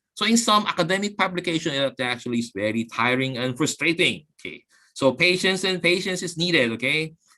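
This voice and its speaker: Lively intonation and a bright, sharp tone carry this voice along at a fairly quick pace. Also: man, high pitch for a man. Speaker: guest speaker, university professor. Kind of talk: webinar lecture. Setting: online webinar. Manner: fast; halting, repetitive fillers.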